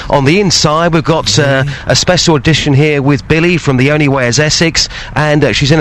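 Amid noticeable background noise, a man talks at a fairly quick pace with a fairly high pitch and ordinary pitch variation. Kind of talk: casual radio chat. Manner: animated, jokey.

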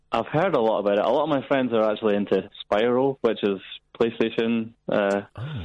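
Over a quiet background, a man with a Scottish accent speaks at a medium pitch and a fairly quick pace. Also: ordinary pitch variation. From Scotland. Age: 20s. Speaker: caller. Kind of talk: phone-in call.

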